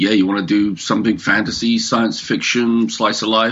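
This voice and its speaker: A man speaks. He has a British accent. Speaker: comic creator and publisher. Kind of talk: interview.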